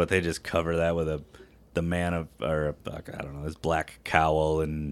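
A man with an American accent speaks at a moderate pace in a very deep, low voice with monotone, flat intonation. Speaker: podcast co-host. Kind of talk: casual chat.

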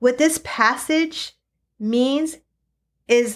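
A woman's voice shows ordinary pitch variation in a very clean recording with a silent background. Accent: American. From eastern Washington, US. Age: 40s. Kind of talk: sermon-style teaching.

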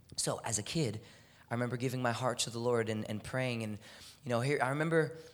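An animated man with an American accent at a medium pitch and fairly quick pace. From Texas, Houston. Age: 20s. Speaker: athlete and guest preacher. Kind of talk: sermon. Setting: church.

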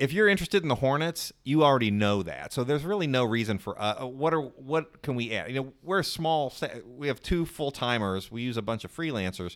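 With a plain, everyday voice, a man speaks at a fairly quick pace and medium pitch, his intonation lively, on a very clean recording with a silent background. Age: 40s. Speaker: newsletter founder and editor. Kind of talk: interview conversation.

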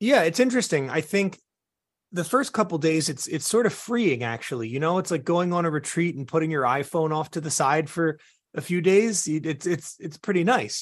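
A man's fairly high voice with lively intonation at a moderate pace over a quiet background. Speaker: keynote speaker and former piano bar performer. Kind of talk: interview. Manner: animated storytelling.

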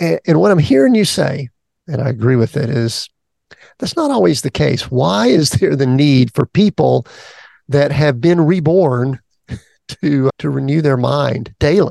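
A dark, mellow tone with a Southern US accent, fairly slow pace and lively intonation, the sound dry and close with no echo. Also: man, fairly high pitch for a man. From US South. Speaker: podcast host, executive coach. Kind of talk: interview conversation.

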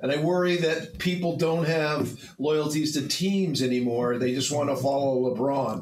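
A man talks at a moderate pace with hardly any pauses and very even loudness. His fairly high voice has ordinary pitch variation, with audible room echo. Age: 70s. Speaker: podcast host. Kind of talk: casual chat. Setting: studio.

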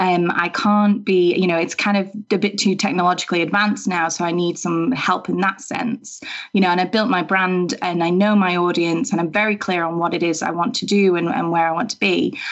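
With an unremarkable speaking voice, a woman talks at a fairly quick pace with hardly any pauses, her medium pitch showing ordinary variation against a quiet background. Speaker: web designer. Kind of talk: casual podcast interview.

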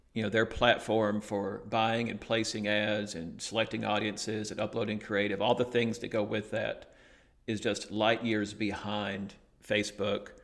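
In an Alabama accent, a man with a fairly low pitch and vocal fry speaks at a fairly slow pace with monotone, flat intonation. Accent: Southern US Alabama. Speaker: digital marketing agency owner. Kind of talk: interview. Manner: hesitant, many fillers.

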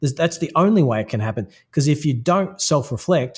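The voice is somewhat breathy, with an Australian accent. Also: man. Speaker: personal branding consultant. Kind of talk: interview.

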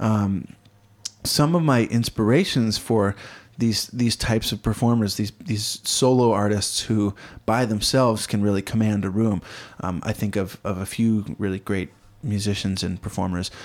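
Here is a man with an ordinary speaking voice, fairly low in pitch with ordinary pitch variation. He keeps a moderate pace on a very clean recording with a silent background. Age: 20s. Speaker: musician and performer. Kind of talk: casual chat. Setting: in person.

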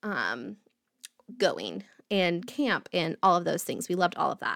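Speaking fairly slowly with an American accent, a woman uses an unremarkable speaking voice and fairly even intonation on a very clean recording with a silent background. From US Midwest (Indiana, near Indianapolis). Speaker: podcast host, mental health advocate. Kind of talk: personal storytelling monologue.

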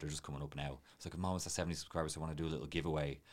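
The man's voice sits very deep and low. There is vocal fry in it. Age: 30s. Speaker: videographer and coffee trainer. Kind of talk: casual interview chat.

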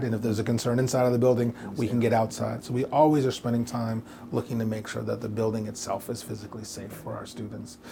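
With an American accent, a man talks at a very fast pace in a dark, mellow, somewhat breathy tone and fairly even intonation. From Portland, Oregon. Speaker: private school head. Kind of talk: interview.

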